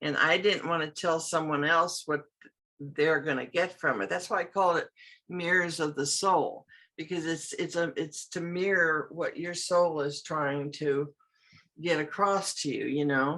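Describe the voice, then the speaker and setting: A woman talks at a fairly slow pace with a fairly low pitch. Her tone is bright and sharp, and her pitch varies in an ordinary way. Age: 80s+. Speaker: artist and card deck creator. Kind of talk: interview answer.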